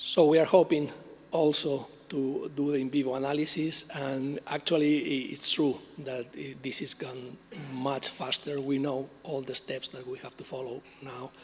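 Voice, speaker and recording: A man with a fairly high voice speaks in a monotone, flat intonation at a moderate pace, with noticeable background noise behind him. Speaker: cancer researcher. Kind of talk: conference talk. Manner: halting, many fillers.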